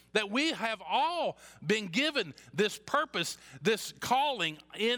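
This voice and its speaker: A man's voice sits high in pitch, raised and projected, with a bright, sharp tone and very wide pitch swings. The recording is very clean with a silent background. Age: 50s. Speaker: pastor. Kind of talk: sermon. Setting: church.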